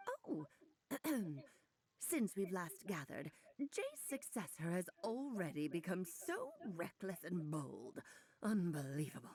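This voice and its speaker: A woman's put-on character voice at medium pitch, fairly slow in pace, with long, frequent pauses. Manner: haughty, scolding.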